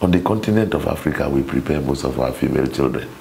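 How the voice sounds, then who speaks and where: A man speaks with a Nigerian accent at a moderate pace. His pitch varies in an ordinary way, with light background noise behind him. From Nigeria, Cross River State. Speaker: minister. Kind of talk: interview on marriage. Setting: studio. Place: studio. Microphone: lapel.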